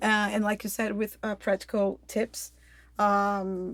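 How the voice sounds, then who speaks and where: A woman's fairly high voice with a slight Brazilian accent, fairly even intonation and a fairly slow pace, on a very clean recording with a silent background. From Brazil, Rio de Janeiro. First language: Portuguese. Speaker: health coach. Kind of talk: casual interview. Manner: hesitant, many fillers.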